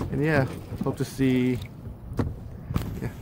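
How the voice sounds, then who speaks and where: Loud background noise fills a dry recording with no echo. A man speaks at a moderate pace. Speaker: fishing vlogger. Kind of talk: casual vlog chat. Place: boat. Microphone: phone near.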